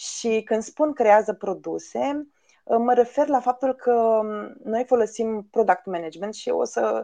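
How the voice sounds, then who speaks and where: A woman with a fairly high pitch and a dark, mellow tone speaks at a fairly slow pace. Her pitch varies in an ordinary way against a quiet background. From Romania, Bucovina (village near Suceava). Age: 30s. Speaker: head of agile at tech company. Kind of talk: podcast interview.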